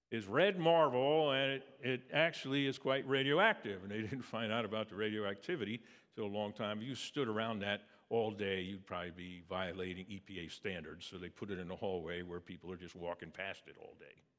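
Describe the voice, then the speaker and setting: An unremarkable speaking voice with an American accent moves at a fairly quick pace, with lively intonation and big swings in loudness. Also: man, fairly low pitch for a man. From Pennsylvania, near Philadelphia. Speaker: preacher. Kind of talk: sermon.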